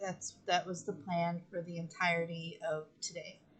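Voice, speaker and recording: At a moderate pace, a woman speaks in a fairly low, monotone, flat voice. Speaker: gaming streamer. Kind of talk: live gameplay stream. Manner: slurred speech; hesitant, many fillers.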